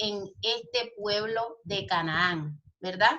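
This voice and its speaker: A woman's lively intonation with audible room echo. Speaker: Bible school teacher. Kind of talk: online lecture. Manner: animated.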